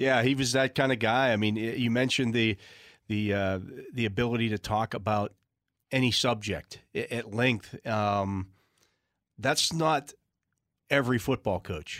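A man with an American accent talks at a medium pitch and a moderate pace. He shows ordinary pitch variation and takes long, frequent pauses. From Western Pennsylvania. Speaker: sports radio panelist. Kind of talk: casual chat.

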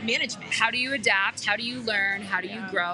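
The speech comes at a fairly quick pace in an American accent. Noticeable background noise sits behind it. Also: woman. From US, Colorado (Aurora). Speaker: change management consultant. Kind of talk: casual chat. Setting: coffee shop, live.

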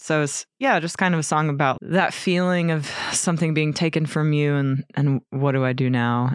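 Speaking in an American accent, a woman with a very deep, low pitch uses ordinary pitch variation. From US South, Virginia. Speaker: touring musician and vocalist. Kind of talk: interview conversation.

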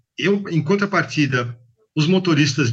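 A man's fairly high voice, bright and sharp in tone, runs at a moderate pace with lively intonation. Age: 50s. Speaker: logistics manager, former bike courier. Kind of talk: interview.

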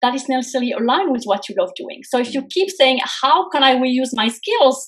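In a French accent, a woman with a high pitch talks at a moderate pace with ordinary pitch variation. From France. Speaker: career coach. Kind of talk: interview.

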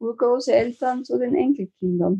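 A woman's somewhat breathy voice, dark and mellow in tone, at a fairly slow pace with ordinary pitch variation. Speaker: activist, founder of a grandmothers' protest group. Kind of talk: interview.

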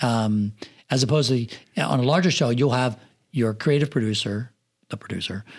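In a very clean recording with a silent background, a man with an American accent uses an unremarkable speaking voice at medium pitch with ordinary pitch variation. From rural Pennsylvania. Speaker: film assistant director and production manager. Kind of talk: casual interview chat. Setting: studio.

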